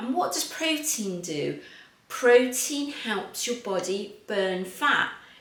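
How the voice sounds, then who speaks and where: With an English accent and lively intonation, a woman speaks at a very slow pace amid noticeable background noise and audible room echo. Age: 50s. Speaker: fitness coach. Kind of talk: tutorial.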